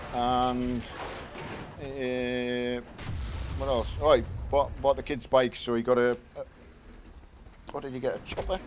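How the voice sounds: A slow, medium-pitched male voice with little pitch movement and long, frequent pauses.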